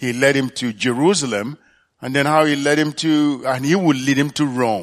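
A man with a fairly high pitch talks over a silent background on a very clean recording. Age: 60s. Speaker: church elder. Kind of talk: sermon. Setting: church. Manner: halting.

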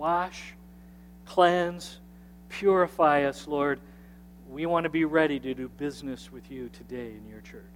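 Man speaking at a fairly slow pace, long, frequent pauses and big swings in loudness. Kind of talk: fervent prayer. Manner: earnest, reverent, heartfelt; measured, pleading, supplicating.

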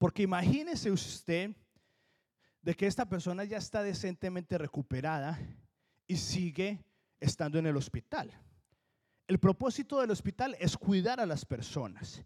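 A high-pitched man with lively intonation, a moderate pace and long, frequent pauses. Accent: Colombian. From Colombia. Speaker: pastor. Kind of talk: sermon.

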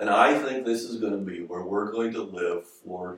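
A man speaks at a moderate pace. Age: 50s. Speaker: pastor. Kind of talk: sermon.

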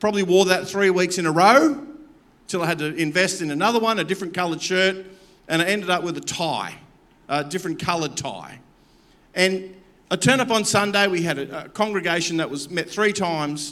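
Audible room echo surrounds a man with an Australian accent whose high, bright, sharp voice moves at a fairly quick pace with ordinary pitch variation. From Campbelltown, Australia. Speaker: pastor. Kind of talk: sermon.

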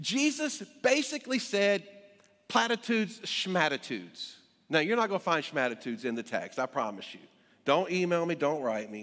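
A man's high, bright, sharp voice with a North Carolina accent and very wide pitch swings. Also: moderate pace. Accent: North Carolina Southern. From US South, Greensboro, North Carolina. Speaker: pastor. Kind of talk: sermon. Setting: church. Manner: halting, many fillers.

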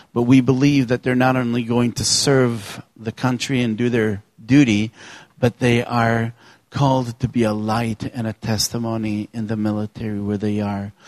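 This man has a plain, everyday voice at medium pitch with fairly even intonation. He speaks at a fairly slow pace, and the sound is dry and close with no echo. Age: 50s. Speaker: youth ministry director. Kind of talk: church talk. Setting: church.

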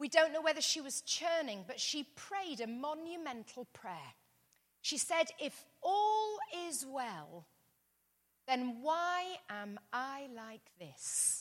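Speaking at a very slow pace with an English accent, a woman uses a high pitch with very wide pitch swings and big swings in loudness. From England. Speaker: pastor. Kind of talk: sermon.

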